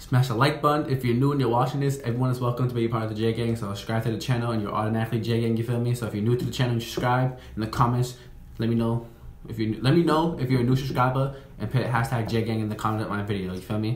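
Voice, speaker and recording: A man at a very fast pace, with fairly even intonation and audible room echo. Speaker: reaction video creator. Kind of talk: casual vlog chat. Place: home room. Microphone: phone near.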